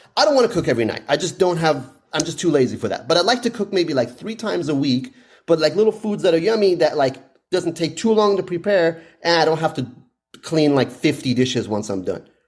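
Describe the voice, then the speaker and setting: Lively intonation runs through very fast speech in a very clean recording with a silent background. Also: man, high pitch for a man. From Iran. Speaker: actor and comedian. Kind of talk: casual chat.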